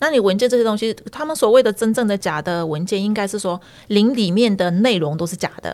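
An unremarkable speaking voice of a woman, medium in pitch, fairly quick, with ordinary pitch variation. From northern Myanmar (ethnic Chinese, Yunnan ancestry). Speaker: community association staff and Burmese language teacher. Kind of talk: interview, personal storytelling.

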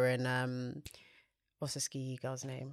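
With a British accent, a woman speaks at a moderate pace in a very deep, low pitch. The recording is very clean with a silent background. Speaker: podcast co-host. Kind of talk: casual chat.

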